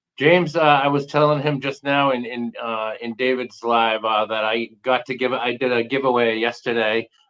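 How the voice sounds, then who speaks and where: A man with an American accent speaks at a medium pitch and a moderate pace. He barely pauses, and his intonation stays fairly even. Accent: Boston accent, thick sometimes. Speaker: magnet fishing YouTuber. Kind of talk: casual chat.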